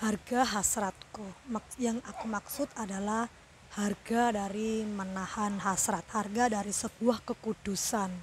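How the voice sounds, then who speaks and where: Soft-spoken and fairly slow, a woman talks at a fairly high pitch with fairly even intonation. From Indonesia, Surabaya (East Java). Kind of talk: personal testimony. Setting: outdoors at a roadside food court. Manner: soft-spoken, talking quietly.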